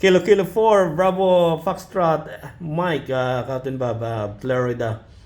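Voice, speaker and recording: A man with a Filipino accent speaks at a fairly slow pace, his pitch swinging very widely. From Philippines. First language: Filipino language. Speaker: ham radio net control. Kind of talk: amateur radio net chat. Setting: radio net. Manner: halting.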